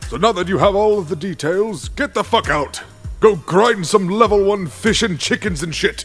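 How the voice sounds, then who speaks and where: Shouting at a moderate pace over faint music in the background. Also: man, high pitch for a man. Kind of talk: comic overacting, crude abridged parody. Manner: rude, dismissive, shouting.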